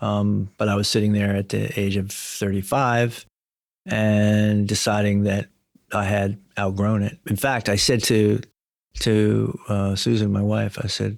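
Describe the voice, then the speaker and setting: With an American accent, a man speaks at a fairly slow pace in a fairly low pitch, his intonation monotone and flat and his loudness very even, in a very clean recording with a silent background. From United States. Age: 60s. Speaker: telecom company CEO. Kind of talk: podcast interview.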